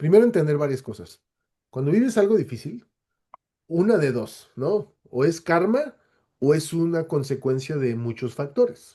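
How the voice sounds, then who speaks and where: In a Latin American accent, this voice has a dark, mellow tone, a fairly slow pace and very wide pitch swings. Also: man, fairly high pitch for a man. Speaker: webinar speaker. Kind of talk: webinar Q&A. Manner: halting, many self-corrections.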